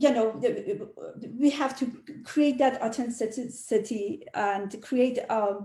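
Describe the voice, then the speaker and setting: In a non-native accent, a woman with a high-pitched, dark, mellow voice speaks very slowly with lively intonation. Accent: foreign. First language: not English. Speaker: realtor. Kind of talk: panel discussion. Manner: halting.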